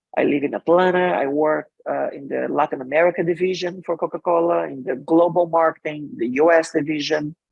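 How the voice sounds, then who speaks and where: With a Brazilian accent, a man speaks at a fairly high pitch and a fairly quick pace with fairly even intonation. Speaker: marketing executive and author. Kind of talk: interview.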